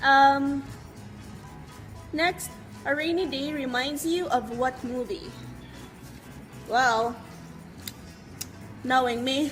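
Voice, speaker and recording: A loud woman with a Visayan Filipino accent speaks at a very slow pace and a high pitch. Music plays in the background. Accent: Filipino (Cebuano) English. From Cebu, Philippines. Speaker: beauty vlogger. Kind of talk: casual talk to camera. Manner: loud, hyped.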